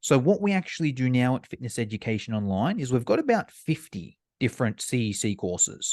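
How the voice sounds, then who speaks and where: A man at medium pitch and a fairly quick pace, in a dry, close sound with no echo and a quiet background. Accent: Australian. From Australia. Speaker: online fitness course provider. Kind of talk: podcast interview.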